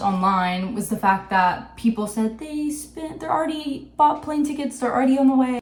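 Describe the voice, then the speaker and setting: A woman speaks over noticeable background noise. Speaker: video essayist. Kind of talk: video essay commentary.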